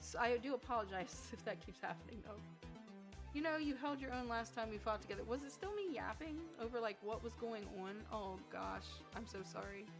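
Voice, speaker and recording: Background music runs throughout. Over it, a woman talks at a moderate speed. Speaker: twitch streamer. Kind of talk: casual game stream commentary.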